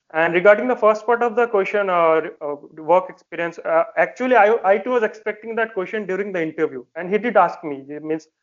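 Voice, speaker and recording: A man with an Indian accent talks at a very fast pace in a high voice with ordinary pitch variation. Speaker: defence exam candidate and working professional. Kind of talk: interview. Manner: hesitant, many fillers.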